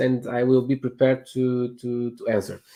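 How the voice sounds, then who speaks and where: In a Portuguese accent, a man speaks at medium pitch with a dark, mellow tone. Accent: Portuguese accent, non-native English. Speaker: real estate agent. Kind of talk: interview. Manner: halting, many fillers and repetitions.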